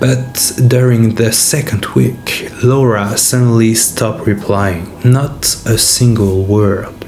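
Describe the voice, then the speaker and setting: A man speaks in a French accent at a very slow pace, with hardly any pauses, very even loudness, and fairly even intonation. Audible room echo and noticeable background noise fill the recording. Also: medium pitch for a man. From France. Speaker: YouTuber, horror storyteller. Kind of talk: reading aloud subscriber stories.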